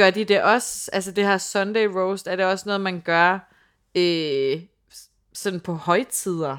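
A woman speaks at a very slow pace. Her pitch is medium, with ordinary pitch variation. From Funen, Denmark. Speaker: podcast co-host. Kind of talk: casual chat. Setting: on location in London.

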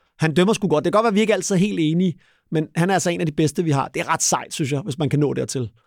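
Lively intonation and fairly high pitch mark this man's very fast speech. The recording is very clean, dry and close, with a silent background and no echo. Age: 40s. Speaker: retired football referee. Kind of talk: interview. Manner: halting.

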